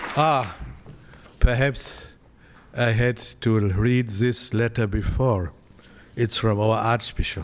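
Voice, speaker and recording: A man with a German accent at a medium pitch, very slow and with long, frequent pauses, ordinary pitch variation, on a very clean recording with a silent background. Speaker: visiting delegate from the founding town. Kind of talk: formal speech. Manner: halting.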